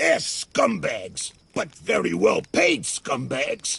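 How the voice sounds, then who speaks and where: In a raspy, put-on character voice, a man talks at a fairly slow pace. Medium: video game. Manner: cynical, gruff.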